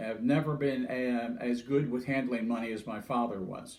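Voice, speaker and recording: A somewhat breathy male voice. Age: 70s. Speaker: interviewee sharing life story. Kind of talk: personal monologue. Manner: halting, many fillers.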